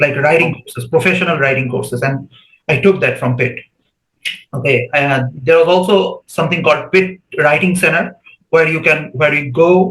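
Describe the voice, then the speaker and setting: Fairly high-pitched male speech in a Bengali accent, at a moderate pace with ordinary pitch variation. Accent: Indian English, Bengali. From India, West Bengal. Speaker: PhD student. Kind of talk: podcast interview.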